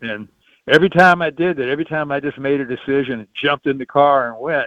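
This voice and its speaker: A man with a Southern US accent talks fairly quickly in a fairly high voice with ordinary pitch variation. His loudness swings widely against a quiet background. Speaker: musician. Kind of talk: interview answer. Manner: casual storytelling.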